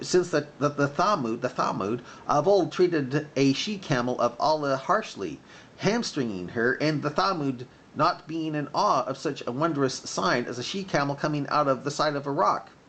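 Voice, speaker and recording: A man puts on a shrill character voice, fairly high in pitch, at a moderate pace. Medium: read story.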